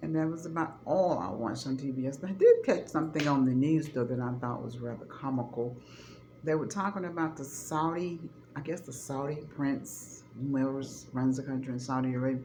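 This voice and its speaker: A woman's very deep, low voice, animated in tone, at a fairly quick pace with ordinary pitch variation and audible room echo. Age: 60s. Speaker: vlogger. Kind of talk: casual chat.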